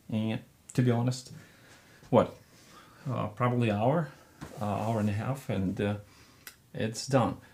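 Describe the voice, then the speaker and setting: Mumbling at a fairly slow pace, a man with a medium-pitched voice keeps his intonation fairly even. His speech is broken by long, frequent pauses. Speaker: painting teacher. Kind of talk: tutorial. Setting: studio.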